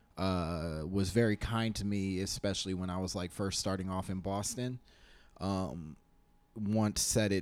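In an unremarkable speaking voice, a man talks at a fairly slow pace and a fairly low pitch, with fairly even intonation, on a very clean recording with a silent background. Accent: American. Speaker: comedian. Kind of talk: casual interview chat.

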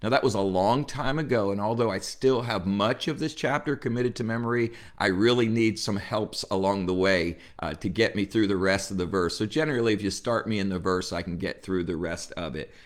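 A man with an American accent speaks in a normal speaking voice at a fairly low pitch and a fairly quick pace. His pitch variation is ordinary, and the recording is very clean with a silent background. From New Jersey, US. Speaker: pastor. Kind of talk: devotional Bible teaching.

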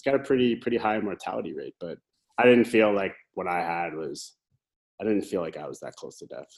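A man with a Canadian accent at a fairly quick pace, with big swings in loudness. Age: 30s. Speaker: brewmaster. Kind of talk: casual chat.

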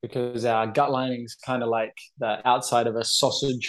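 A man at medium pitch with a New Zealand accent, fairly even in intonation, at a moderate pace over a quiet background. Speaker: anxiety and OCD coach. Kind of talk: interview.

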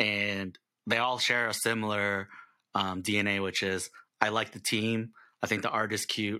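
In a very clean recording with a silent background, a man with a fairly low pitch and a bright, sharp tone talks at a fairly slow pace in a monotone, flat intonation. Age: 30s. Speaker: podcast host. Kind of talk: casual chat.

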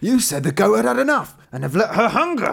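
A man puts on a character voice, high-pitched with vocal fry and a fairly bright tone. He moves at a fairly quick pace with big pitch swings.

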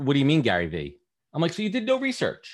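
A man with a New York accent at a very fast pace. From Brooklyn, New York. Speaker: podcast host and recruiter. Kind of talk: casual interview chat.

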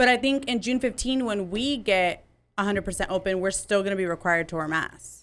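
On a very clean recording with a silent background, a woman with an ordinary speaking voice talks at a fairly quick pace, her medium pitch showing ordinary pitch variation. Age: 20s. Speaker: upper management worker.

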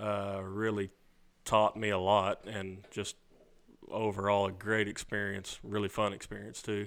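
Speaking with a Southern US accent, a man keeps a fairly low pitch, a monotone, flat intonation and a fairly slow pace. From Arkansas, near Memphis. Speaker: cutting horse trainer. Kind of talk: interview.

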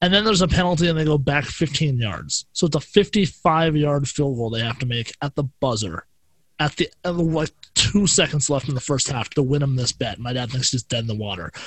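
A man with a fairly high pitch talks with lively intonation in a somewhat breathy voice. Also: moderate pace. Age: 20s. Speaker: podcast guest. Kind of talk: casual chat.

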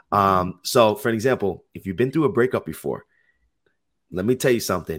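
Over a very clean recording with a silent background, a man with an American accent uses a plain, everyday voice at a medium pitch, fairly quick pace and ordinary pitch variation. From Jersey City, New Jersey, US. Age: 20s. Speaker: holistic health and life coach. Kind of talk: casual interview chat, explaining health topics.

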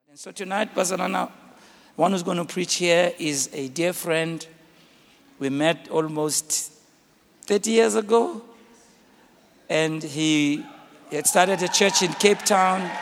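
Over noticeable background noise, a man speaks at a very slow pace, high-pitched for a man. He leaves long, frequent pauses, and his pitch varies in an ordinary way. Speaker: pastor. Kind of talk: speaker introduction. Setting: church with congregation.

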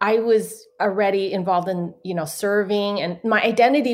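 A woman's plain, everyday voice at medium pitch, moderate pace and fairly even intonation. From US West Coast, San Francisco. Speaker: author. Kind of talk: interview. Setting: video call.

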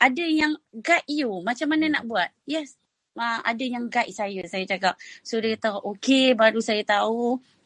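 With lively intonation and a fairly high pitch, a woman speaks at a moderate pace, the sound dry and close with no echo. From Perak, Malaysia (Kuala Kurau / Bagan Serai). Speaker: food business founder. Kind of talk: interview testimony on a live audio chat. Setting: live audio chat room, at home.

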